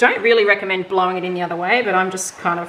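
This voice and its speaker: A woman speaks with a strong Australian accent. Noticeable background noise is present. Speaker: fluid art painter. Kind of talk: casual painting tutorial talk to camera. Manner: casual, chatty.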